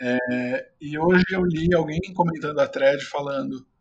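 Here is a plain, everyday voice with lively intonation. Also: man. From Brazil, São Caetano do Sul (ABC Paulista, São Paulo). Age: 20s. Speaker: journalist and author. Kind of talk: interview.

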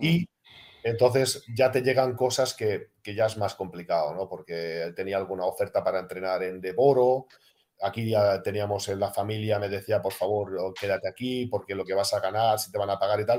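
Pitched fairly low, a man speaks at a moderate tempo with ordinary variation in pitch. The background is silent and the recording very clean. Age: 50s. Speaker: retired basketball player. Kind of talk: casual interview. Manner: halting.

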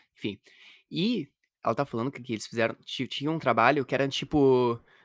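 The background is silent and the recording very clean. A man speaks very fast over it. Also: dry, close sound with no echo. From Rio Grande do Sul, Brazil. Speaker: podcast co-host. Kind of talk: casual chat.

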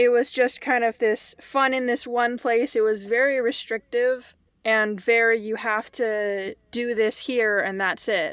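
A woman with an American accent and an ordinary speaking voice talks at a fairly slow pace with a fairly high pitch, fairly even intonation and hardly any pauses, on a very clean recording with a silent background.

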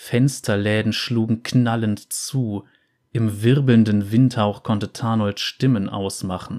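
Someone is reading aloud in a natural voice with fairly even intonation. The background is quiet.

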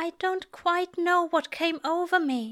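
Slowly, a woman performs a put-on character voice at an extremely high pitch, with a fairly bright tone and ordinary pitch variation.

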